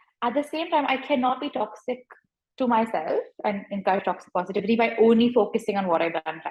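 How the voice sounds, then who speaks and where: At a very fast pace, a somewhat breathy voice speaks with lively intonation. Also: woman, fairly high pitch for a woman. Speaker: clinical psychologist. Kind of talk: interview.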